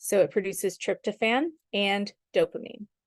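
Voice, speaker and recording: The voice carries vocal fry, with a dry, close sound with no echo over a quiet background. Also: woman. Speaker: sleep coach and supplement brand ambassador. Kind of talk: presentation on a group call. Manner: enthusiastic.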